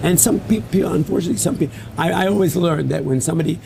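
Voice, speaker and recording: Talking at a very fast pace, a man is heard amid noticeable background noise. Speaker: interviewer, stock exchange figure. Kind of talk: interview talk.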